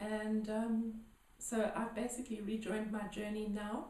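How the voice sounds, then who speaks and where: In a room with audible echo, a woman speaks fairly slowly at a fairly high pitch, somewhat breathy and dark, mellow in tone. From South Africa, Johannesburg. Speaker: healer. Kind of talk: interview. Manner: hesitant, many fillers.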